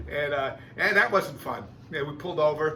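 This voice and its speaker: Amid noticeable background noise and audible room echo, a man talks at a fairly quick pace in a fairly high pitch with an animated tone. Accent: American. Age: 60s. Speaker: video blogger and drummer. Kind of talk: casual vlog monologue. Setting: home music room.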